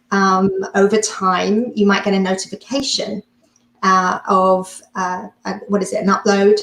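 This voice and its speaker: Monotone, flat intonation with a non-native accent. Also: woman. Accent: foreign accent, noticeable. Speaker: hypnotist and mindset coach. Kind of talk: interview. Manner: halting, many fillers.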